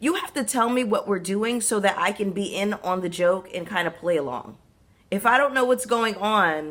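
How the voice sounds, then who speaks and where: A woman shouts in a raspy, put-on character voice at medium pitch, passionate in tone with lively intonation at a moderate pace. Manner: yelling, passionate.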